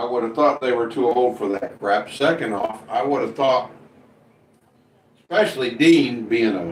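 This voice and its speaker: A man with an American accent at a medium pitch and a fairly slow pace. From US Midwest (Indiana). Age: 60s. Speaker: live streamer. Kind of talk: casual chat. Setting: live stream reading chat.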